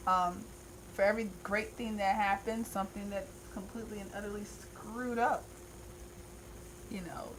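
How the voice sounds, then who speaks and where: A woman of medium pitch speaks at a moderate pace in an animated tone with big swings in loudness and long, frequent pauses, amid audible room echo and noticeable background noise. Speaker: tarot reader. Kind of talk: monthly tarot reading. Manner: casual, animated.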